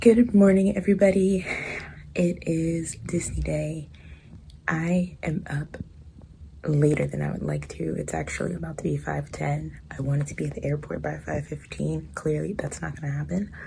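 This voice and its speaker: A woman speaks quietly at a moderate pace. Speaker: travel vlogger. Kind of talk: casual vlog talk to camera. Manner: quiet, hushed.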